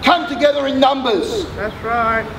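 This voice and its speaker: With noticeable background noise behind him, a man speaks at an extremely high pitch in an angry, warm tone. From Australia. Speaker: suicide prevention worker and activist. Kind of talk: rally speech, impassioned public oration. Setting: outdoors rally with crowd. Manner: forceful, emphatic, declamatory, with repeated phrases and punchy rhythm; fiery, urgent, angry at injustice yet warm in closing. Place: street. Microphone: pa.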